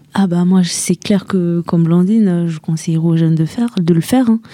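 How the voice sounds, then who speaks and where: A woman's fairly low-pitched, fairly even intonation in a normal speaking voice. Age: 20s. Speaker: young traveller. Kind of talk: radio interview.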